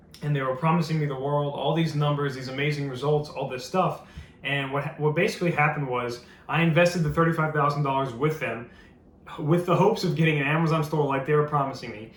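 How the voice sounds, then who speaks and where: Over noticeable background noise and audible room echo, a man talks very fast at a fairly high pitch with fairly even intonation. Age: 20s. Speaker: entrepreneur, business owner. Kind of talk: sales pitch. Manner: casual, conversational with fillers.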